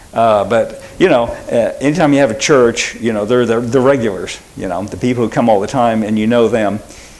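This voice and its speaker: A man with an American accent speaks at a fairly quick pace with hardly any pauses, a medium pitch and ordinary pitch variation, amid audible room echo and noticeable background noise. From Oklahoma. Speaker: pastor. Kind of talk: sermon. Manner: quiet, self-described; conversational, halting with fillers.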